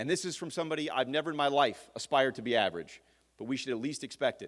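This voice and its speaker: An energetic male voice in a Louisiana accent, full of lively intonation. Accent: Louisiana Southern American. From Louisiana, Mandeville (North Shore). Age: 30s. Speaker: political candidate. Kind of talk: campaign speech at candidate forum. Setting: forum stage with audience. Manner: fast.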